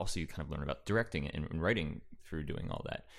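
Very deep and low, the man's voice carries noticeable vocal fry. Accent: American. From Central New Jersey, East Brunswick. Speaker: screenwriter and improviser. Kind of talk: casual interview chat. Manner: halting, many fillers.

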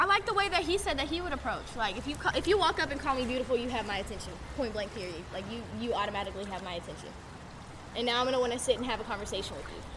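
Over noticeable background noise, a woman talks at a very fast pace in a high pitch with very wide pitch swings. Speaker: podcast co-host. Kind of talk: casual chat.

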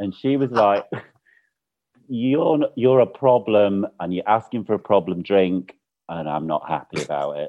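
The speaker talks at a fairly slow pace with a Mancunian accent. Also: man, fairly low pitch for a man. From Manchester, northern England. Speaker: interior designer. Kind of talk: casual chat.

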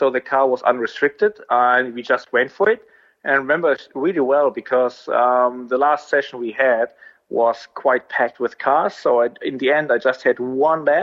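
A man with an ordinary speaking voice, medium pitch and ordinary pitch variation, at a moderate pace. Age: 30s. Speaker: racing driver. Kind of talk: interview.

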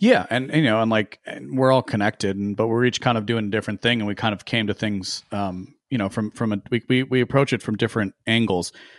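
With an unremarkable speaking voice of medium pitch, a man talks at a fairly quick pace, with hardly any pauses and fairly even intonation, against a quiet background with a dry, close sound and no echo. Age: 20s. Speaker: podcaster and political writer. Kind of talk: casual chat.

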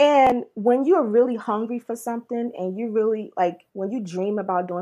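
The voice has a dark, mellow tone and a New Jersey accent. It moves at a fairly quick pace with ordinary pitch variation. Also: woman. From Newark, New Jersey. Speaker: R&B/soul singer-songwriter. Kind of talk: casual interview chat.

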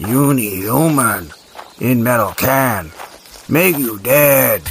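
A man puts on a gruff character voice at medium pitch. He speaks at a very slow pace with lively intonation. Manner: menacing, simple-minded.

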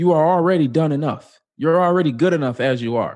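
A man with an American accent talks at a fairly quick pace with lively intonation. He has an ordinary speaking voice, and the background is quiet. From US Midwest, Chicago. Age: 30s. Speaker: author and public speaker. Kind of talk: casual interview.

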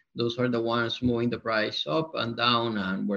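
A man speaks fairly quickly in a Spanish accent. His intonation stays fairly even. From Colombia. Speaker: company co-founder and CEO. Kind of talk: casual interview.

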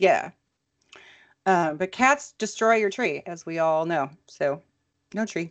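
Against a quiet background, a woman with a medium pitch and lively intonation speaks very slowly. She leaves long, frequent pauses. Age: 40s. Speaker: podcast co-host. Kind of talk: casual chat.

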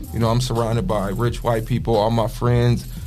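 Over background music, a man with a medium pitch talks at a moderate pace, with audible room echo. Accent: American. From Toledo, Ohio, US Midwest. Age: 30s. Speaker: community youth mentor. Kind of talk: personal testimony.

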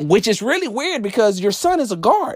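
On a very clean recording with a silent background, a man speaks in an animated tone at a moderate pace, with very wide pitch swings. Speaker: sports podcast host. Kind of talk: sports radio rant. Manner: animated, indignant.

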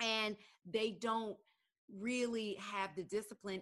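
A woman with an unremarkable speaking voice talks at a fairly slow pace in a fairly high pitch, her intonation fairly even and the sound dry and close with no echo. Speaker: podcast host and journalist. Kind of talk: casual interview.

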